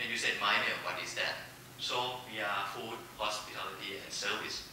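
With a Thai accent, the speaker goes at a moderate pace amid strong room echo and noticeable background noise. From Thailand. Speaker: corporate foundation executive. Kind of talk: panel presentation. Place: hall.

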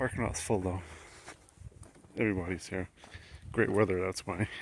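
A man speaks with vocal fry in a dry sound with no echo, over noticeable background noise. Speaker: travel vlogger. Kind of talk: casual vlog chat. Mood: relaxed, upbeat. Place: street. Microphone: phone near.

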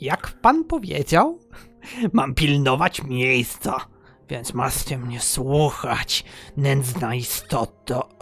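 With faint music in the background, a man uses a put-on character voice at a very slow pace. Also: medium pitch for a man. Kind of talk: comic character voice. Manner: boastful, childish, gleeful.

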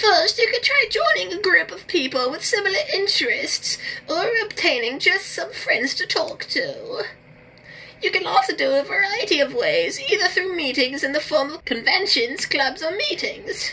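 A woman speaks at an extremely high pitch with very wide pitch swings. Her pace is moderate, and there is clear background noise. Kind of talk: formal advice-giving. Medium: game stream. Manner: gentle, polite, soothing.

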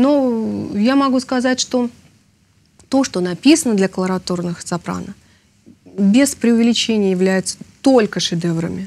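A woman speaks at a fairly slow pace with a fairly high pitch. Her intonation is lively, broken by long, frequent pauses. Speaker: opera singer. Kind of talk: interview.

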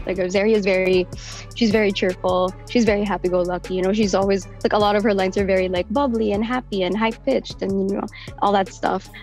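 A woman at a very fast pace and medium pitch, with faint music in the background. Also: fairly even intonation. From Philippines. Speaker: voice actor. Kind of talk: interview answer. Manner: casual, chatty. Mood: warm, happy, proud. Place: booth. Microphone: studio mic.

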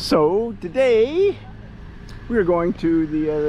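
The sound is dry with no echo. Noticeable background noise runs underneath. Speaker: travel blogger. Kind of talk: casual talk to camera. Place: street. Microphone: phone near.

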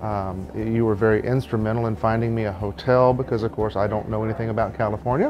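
With hardly any pauses, a man rushes along at a very fast pace in fairly even intonation against noticeable background noise. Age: 40s. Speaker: patient giving a testimonial. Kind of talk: testimony. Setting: at a clinic in Tijuana. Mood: relaxed, positive. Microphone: lapel.

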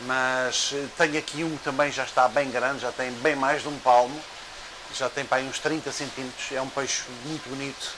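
There is noticeable background noise as a man speaks at a moderate pace. His intonation is monotone and flat. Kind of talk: casual vlog chat. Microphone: lapel.

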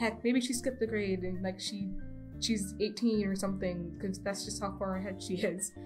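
A woman at a fairly quick pace, with music in the background. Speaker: animation student. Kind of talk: casual commentary over speed paint. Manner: stutter.

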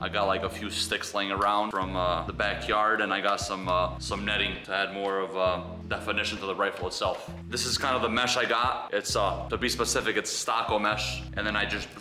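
Fairly low-pitched man speaking at a fairly quick pace with ordinary pitch variation, clear music in the background. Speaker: outdoor DIY vlogger. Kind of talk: tutorial. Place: garage. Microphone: camera far.

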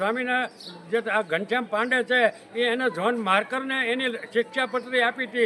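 Over noticeable background noise, a man projects his extremely high voice. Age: 70s. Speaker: farmer leader, activist. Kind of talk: protest statement to press. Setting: outdoors. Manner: animated.

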